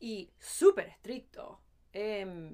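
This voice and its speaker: The speaker is a woman with lively intonation. She talks at a fairly high pitch. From Los Angeles, raised in Argentine-Spanish home. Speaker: podcast co-host. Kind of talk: casual chat.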